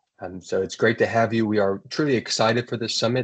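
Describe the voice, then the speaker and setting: A man with an American accent uses a normal speaking voice at a medium pitch. His pace is fairly quick and his intonation fairly even. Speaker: webinar host. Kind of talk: webinar introduction.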